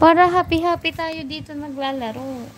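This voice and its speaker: A woman with a Batangas accent at a fairly slow pace, fairly even intonation, and noticeable background noise. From Batangas, Philippines. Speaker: mobile game streamer. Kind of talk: live gaming stream chat. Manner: blunt, sounds bossy; not sweet or soft.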